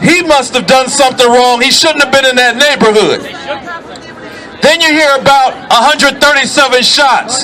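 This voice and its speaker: Over crowd noise in the background, a man with an American accent speaks in a raised, projected voice at an extremely high pitch, with ordinary pitch variation and very even loudness. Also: moderate pace. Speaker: activist speaker. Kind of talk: protest rally speech.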